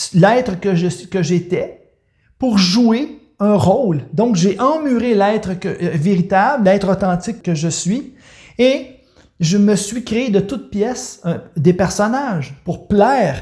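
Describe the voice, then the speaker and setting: With a Quebec accent, a man speaks very slowly in a high pitch for a man, his tone dark and mellow and his intonation lively. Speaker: life coach. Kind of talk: personal testimony. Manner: halting, with many repetitions and hesitations.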